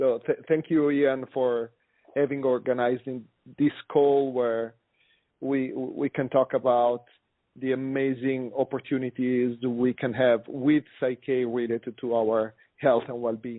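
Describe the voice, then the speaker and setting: Delivered in an Italian accent, the speech comes at a fairly slow pace with monotone, flat intonation. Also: man, medium pitch for a man. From Italy, Milan. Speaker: osteopath and workshop instructor. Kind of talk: conference call talk. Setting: phone conference call.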